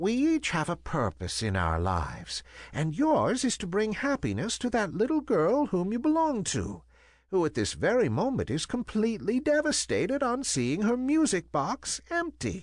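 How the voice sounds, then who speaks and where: A man uses a put-on character voice that is gentle in tone and high-pitched, speaking at a moderate pace. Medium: read story.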